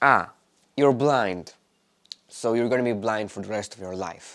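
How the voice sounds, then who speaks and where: A man speaks with a non-native accent. His voice is fairly low, with ordinary pitch variation. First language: not English. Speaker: vlogger. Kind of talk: personal monologue. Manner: halting.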